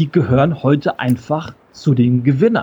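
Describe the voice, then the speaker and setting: A man's somewhat breathy voice at a moderate pace, with ordinary pitch variation. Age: 40s. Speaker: keynote speaker and change expert. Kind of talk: interview.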